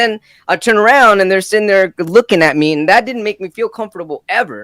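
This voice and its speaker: At a fairly quick pace, a man with a high pitch speaks in a bright, sharp, animated tone with ordinary pitch variation. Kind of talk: casual chat. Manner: fast.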